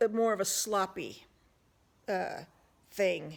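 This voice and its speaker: A woman's medium-pitched voice on a very clean recording with a silent background. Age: 60s. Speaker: psychic medium YouTuber. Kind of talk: casual monologue. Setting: at home with dog on lap. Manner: hesitant, many fillers.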